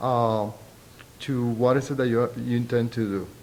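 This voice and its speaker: With a strong Spanish accent, a man speaks at a moderate pace and medium pitch. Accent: thick Spanish. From Puerto Rico. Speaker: sociology professor. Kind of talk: interview. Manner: halting.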